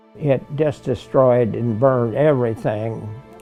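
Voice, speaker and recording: Over music in the background, a man with an American accent talks at a medium pitch. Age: 80s+. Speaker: WWII veteran, cattle farmer. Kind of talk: interview answer.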